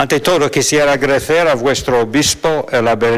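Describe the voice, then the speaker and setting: Over noticeable background noise, a man with a non-native accent speaks with ordinary pitch variation. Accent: foreign accent in Spanish. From US, Philadelphia. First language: English (speaking Spanish). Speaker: monk and theologian, conference speaker. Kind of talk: lecture read from script.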